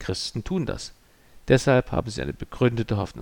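A man speaks at a medium pitch in a solemn tone, with vocal fry. The sound is dry and close, with no echo. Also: very clean recording, silent background. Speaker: pastor. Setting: church. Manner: formal, measured and earnest, with a solemn pastoral tone.

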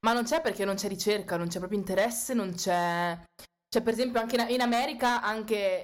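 A woman's fairly high voice at a fairly quick pace with ordinary pitch variation, in a very clean recording with a silent background. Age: 20s. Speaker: student and activist. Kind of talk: casual chat.

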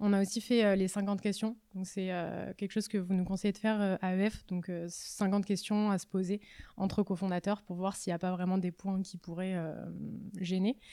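At a moderate pace, a woman speaks in a medium pitch. Her tone is dark and mellow, with monotone, flat intonation. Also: very clean recording, silent background. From southern France (Var). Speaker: startup founder, former genetics researcher. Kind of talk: casual interview.

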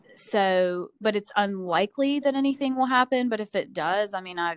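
In a very clean recording with a silent background, a woman with a Southern US accent talks at a fairly quick pace with ordinary pitch variation. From US South, Georgia. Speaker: nurse practitioner. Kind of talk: casual chat. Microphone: echo, rough audio.

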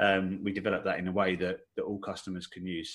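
A man with an Essex accent speaks at a fairly quick pace and a fairly low pitch. The recording is very clean, with a silent background. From Essex, England. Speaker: software developer, head of technology. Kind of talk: podcast interview. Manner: hesitant, many fillers.

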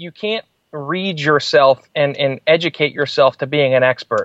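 A man's fairly high voice at a fairly slow pace, dry and close with no echo. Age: 20s. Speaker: entrepreneur and public speaker. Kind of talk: interview. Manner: hesitant fillers.

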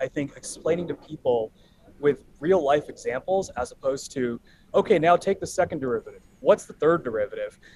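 Speaking fairly quickly with an American accent, a man with a high-pitched voice moves through very wide pitch swings. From Los Angeles, US. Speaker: data analytics executive and entrepreneur. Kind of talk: podcast interview. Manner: halting, many fillers.

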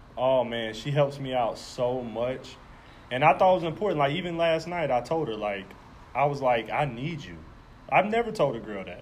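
A man at a moderate pace and fairly high pitch, lively in intonation, with big swings in loudness. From US South, Jacksonville, Florida. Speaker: podcast co-host. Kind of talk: casual chat. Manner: sounds aggressive.

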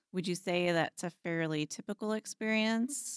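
An ordinary speaking voice with an American accent moves at a fairly slow pace. The recording is very clean, with a silent background and a dry, close sound with no echo. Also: woman. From US Midwest, Kansas. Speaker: librarian and podcast host. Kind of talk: casual chat.

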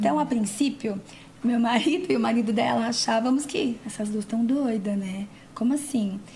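Fairly high in pitch, a woman speaks at a moderate pace with ordinary pitch variation. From São Paulo city, Brazil. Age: 40s. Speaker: body piercer and physiotherapist. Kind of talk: casual chat. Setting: studio.

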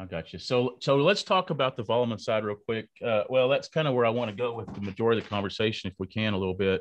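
A man talks with a West Texas accent. His pace is very fast. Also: medium pitch for a man, ordinary pitch variation. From Lubbock, Texas. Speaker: podcast host. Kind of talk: interview. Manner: halting, many fillers.

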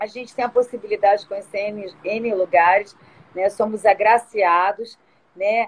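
A woman speaks at a moderate pace with a fairly high pitch. Her intonation stays monotone and flat. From Rio de Janeiro, Brazil (born São Paulo, moved at two). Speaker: tourism business owner. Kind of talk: live-stream interview. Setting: online live stream.

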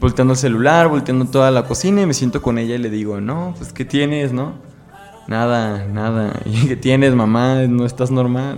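Over noticeable background noise and audible room echo, a man with a Jalisco accent speaks at a moderate pace and medium pitch with ordinary pitch variation. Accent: Mexican Spanish, Jalisco. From Mexico, Guadalajara (Jalisco). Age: 20s. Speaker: law student. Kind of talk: interview.

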